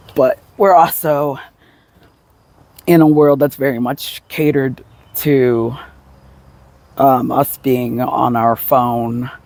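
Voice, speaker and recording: At a very slow pace, a man speaks with long, frequent pauses. His pitch is medium and his intonation fairly even. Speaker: vlogger. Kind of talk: casual vlog monologue. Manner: hesitant, many fillers.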